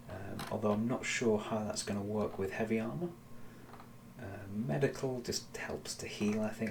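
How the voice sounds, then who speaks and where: Mumbling at a moderate pace, a man with a fairly low pitch talks amid audible room echo. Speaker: gaming streamer. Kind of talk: live gameplay commentary. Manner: halting.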